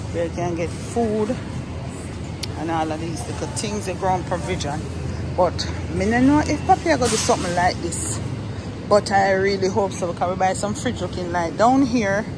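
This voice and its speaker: Moderate pace with long, frequent pauses, crowd noise in the background. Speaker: small shop owner vlogger. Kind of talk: casual vlog chat. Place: shop. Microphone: phone near.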